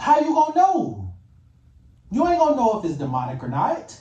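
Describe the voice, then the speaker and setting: A man speaks at a moderate pace in a dark, mellow tone. Audible room echo surrounds his voice. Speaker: YouTuber commentator. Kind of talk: reaction rant. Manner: animated.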